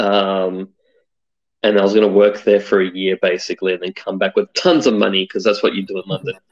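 A man with an Australian accent and a fairly low pitch. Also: fairly even intonation, dry, close sound with no echo. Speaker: UX designer. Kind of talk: interview.

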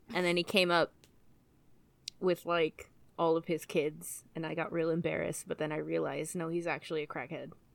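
Talking at a fairly quick pace, a woman with a fairly low pitch uses monotone, flat intonation and vocal fry. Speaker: podcast co-host. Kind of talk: casual chat.

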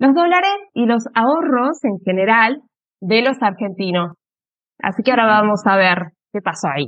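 A fairly high-pitched woman at a moderate pace, with very wide pitch swings. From Argentina, Avellaneda (Buenos Aires area). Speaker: Spanish teacher and legal translator. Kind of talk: interview explaining history. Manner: hesitant, many fillers.

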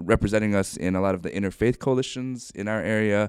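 Against a silent background on a very clean recording, a man with a plain, everyday voice and an American accent talks at a moderate pace with a fairly low pitch and ordinary pitch variation. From Ohio, US Midwest. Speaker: pastor. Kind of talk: interview.

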